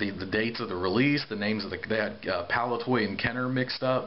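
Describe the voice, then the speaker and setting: A man speaks at a fairly quick pace with medium pitch and ordinary pitch variation over noticeable background noise. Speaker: Star Wars toy collector. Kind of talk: casual talk to camera. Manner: rambling.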